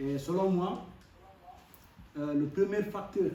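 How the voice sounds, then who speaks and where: A man speaks fairly slowly at a high pitch with fairly even intonation. Audible room echo surrounds his voice. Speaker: foreign student speaker. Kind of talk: speech at a community event. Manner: hesitant, many fillers.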